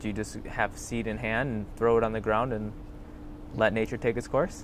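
A man's dry, echo-free voice over light background noise. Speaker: student interviewer. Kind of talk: interview. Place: garden.

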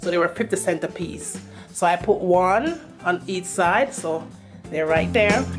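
Faint music plays in the background as a woman with a Jamaican accent speaks fairly slowly at a fairly low pitch. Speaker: home decor vlogger. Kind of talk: casual home tour talk to camera. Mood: pleased, chatty. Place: home room. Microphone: phone near.

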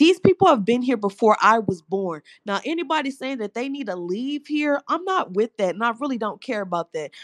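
A woman with an American accent speaks at a fairly quick pace in a high pitch with very wide swings. The sound is dry and close with no echo, against a quiet background. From Houston, Texas. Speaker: caller, engineer. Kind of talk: heated debate.

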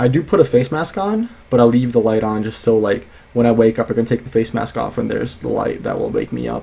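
The man's delivery moves at a fairly quick pace. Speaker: student vlogger. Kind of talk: casual vlog chat. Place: home room. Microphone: studio mic.

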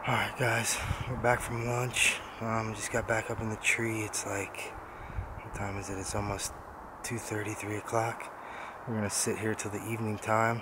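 The speech moves at a moderate pace with long, frequent pauses, a dry sound with no echo, and noticeable background noise. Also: man. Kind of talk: casual vlog chat. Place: forest. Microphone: phone near.

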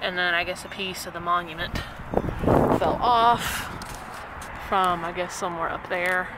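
Loud background noise surrounds a woman's fairly low, monotone, flat voice, broken by long, frequent pauses. The sound itself is dry, with no echo. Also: moderate pace. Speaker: filmmaker walking a cemetery. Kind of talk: vlog walkthrough. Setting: outdoors. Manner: casual. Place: open country. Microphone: phone near.

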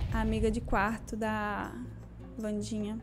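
A woman speaking at a fairly slow pace over faint background music. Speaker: content creator. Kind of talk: casual tier-list commentary. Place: home room. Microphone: handheld.

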